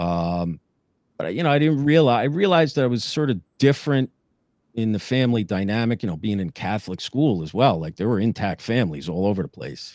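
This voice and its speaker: In a very clean recording with a silent background, a man at medium pitch talks at a fairly quick pace with very wide pitch swings. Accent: New Jersey. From northern New Jersey. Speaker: former police lieutenant. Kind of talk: interview testimony. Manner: many filler words.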